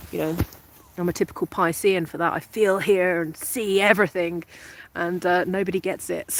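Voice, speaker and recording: With a British accent, a woman speaks at a moderate pace in a medium pitch and a flat, monotone delivery. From England. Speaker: spiritual coach. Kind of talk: live stream talk. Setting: outdoors. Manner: halting.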